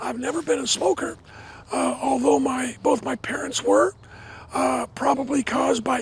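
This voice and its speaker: Fairly slow speech from a man, with noticeable noise behind it. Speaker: professor. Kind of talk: guided tour. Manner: halting, many fillers.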